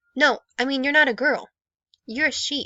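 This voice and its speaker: Using a put-on character voice, a woman projects in a raised, high-pitched voice at a moderate pace with fairly even intonation. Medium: read story. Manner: exasperated, patient.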